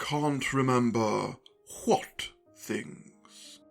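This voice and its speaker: The speaker uses a put-on character voice at a low-to-middle pitch. Faint music plays in the background. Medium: audio drama. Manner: terse, contradicting.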